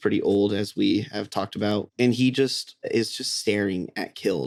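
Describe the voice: Here is plain reading aloud. Its pitch rises and falls an ordinary amount.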